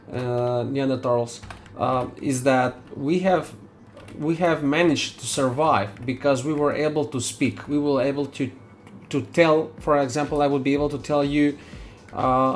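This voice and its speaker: The speaker has a non-native accent and talks at a fairly slow pace with fairly even intonation. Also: man, fairly high pitch for a man. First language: not English. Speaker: 3D artist streamer. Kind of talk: live stream chat while working. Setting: live stream. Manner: halting.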